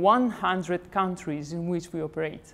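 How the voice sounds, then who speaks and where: A woman speaks with an Italian accent. Her pace is moderate. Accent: Italian accent in English, praised. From Italy. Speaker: company representative, founder's granddaughter. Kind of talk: corporate presentation. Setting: company showroom event. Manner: formal.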